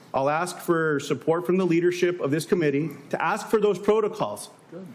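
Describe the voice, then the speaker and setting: There is noticeable background noise behind this man. He speaks at a moderate pace with a high pitch. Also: ordinary pitch variation. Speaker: senator. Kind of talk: heated debate. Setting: committee hearing room. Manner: interrupting, pressing.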